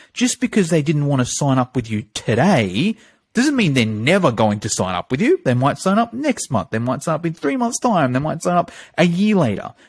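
A man talks at a moderate pace with a fairly high, somewhat breathy voice. His pitch swings very widely, and the sound is dry and close with no echo. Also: very clean recording, silent background. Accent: Australian. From Australia, Sydney; Greek parents. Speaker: fitness marketing coach. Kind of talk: podcast interview.

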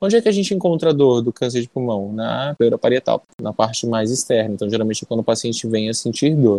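With a dark, mellow tone and a medium pitch, a man talks at a very fast pace with hardly any pauses and ordinary pitch variation, the sound dry and close with no echo. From Amazonas, Brazil (interior). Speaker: pulmonologist. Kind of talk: interview.

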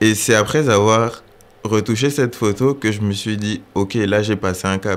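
With fairly even intonation and a fairly low pitch, the man has a plain, everyday voice. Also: fairly slow pace. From Gabon. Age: 20s. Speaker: photographer and accountant. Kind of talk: interview.

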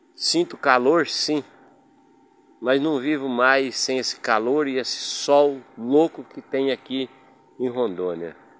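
A man of medium pitch at a very slow pace, with long, frequent pauses, ordinary pitch variation and noticeable background noise. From Paraná, Brazil. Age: 60s. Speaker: podcaster. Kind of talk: personal storytelling monologue.

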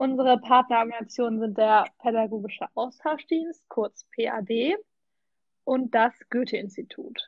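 A woman speaks at a fairly slow pace. Her pitch is high, with ordinary pitch variation. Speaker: volunteer language assistant. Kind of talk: casual chat.

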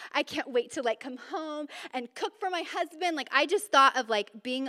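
A woman's raised, projected voice with a bright, sharp tone, fairly quick pace, hardly any pauses, very wide pitch swings and big swings in loudness. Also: dry, close sound with no echo. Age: 30s. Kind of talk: talk at a women's church event. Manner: casual, chatty.

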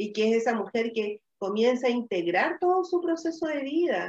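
Fairly slow pace in a plain, everyday voice, full of lively intonation. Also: woman. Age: 40s. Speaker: women's wellness and ritual facilitator. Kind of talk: live-streamed conversational talk. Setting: live video stream.

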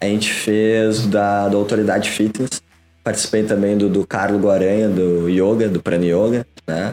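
Speaking at a moderate pace, a man has a dark, mellow tone, fairly low pitch, monotone, flat intonation and very even loudness. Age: 20s. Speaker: digital entrepreneur. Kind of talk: casual interview.

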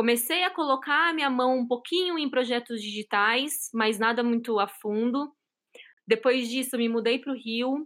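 Recorded very cleanly against a silent background, the talking moves along at a moderate pace. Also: woman, high pitch for a woman, ordinary pitch variation. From São Paulo, Brazil. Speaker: solutions engineer. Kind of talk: casual interview chat. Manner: animated, enthusiastic.

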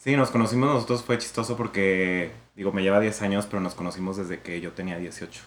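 A man talks with an unremarkable speaking voice, pitched fairly low. His pace is fairly quick, with ordinary pitch variation. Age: 30s. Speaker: communication student and nightclub co-owner. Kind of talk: casual interview testimony.

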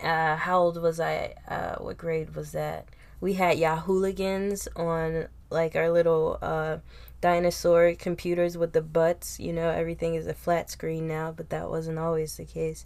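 A woman with a Philadelphia accent, speaking at a fairly slow pace. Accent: Philadelphia American English. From Philadelphia, US. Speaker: podcast host. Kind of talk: casual chat.

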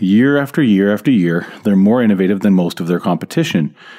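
A man's dark, mellow tone at a fairly low pitch with ordinary pitch variation. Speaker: marketing podcast host. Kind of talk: solo podcast monologue. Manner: casual, conversational.

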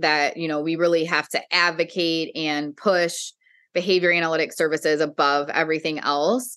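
A woman talks at a moderate pace with a bright, sharp tone. Her pitch is fairly low. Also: quiet background. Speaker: behavior analyst. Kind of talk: casual chat.

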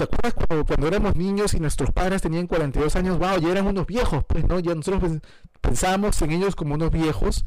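A man with a high voice talks at a fairly quick pace, keeping his intonation fairly even. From Peru. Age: 40s. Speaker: film commentary podcaster. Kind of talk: casual solo podcast monologue. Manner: hesitant, many fillers.

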